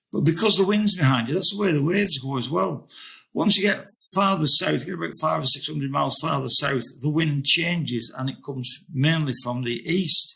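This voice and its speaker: This man talks at a fairly quick pace in a fairly high pitch, with lively intonation. His tone is bright and sharp, with some vocal fry. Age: 70s. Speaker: ocean rower. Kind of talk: interview answer.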